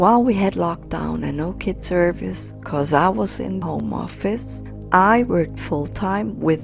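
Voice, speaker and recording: A woman's fairly slow speech is accompanied by music in the background. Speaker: parent. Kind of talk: poetry slam reading.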